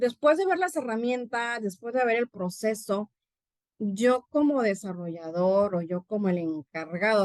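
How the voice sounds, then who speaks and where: At a fairly slow pace, a woman speaks in an animated tone with ordinary pitch variation, the sound dry and close with no echo. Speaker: university professor and conference speaker. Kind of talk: conference talk.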